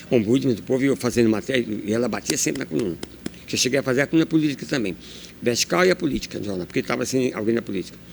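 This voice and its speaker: A man talks very fast, his medium-pitched voice carrying lively intonation. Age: 60s. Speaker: journalist. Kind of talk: interview. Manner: animated.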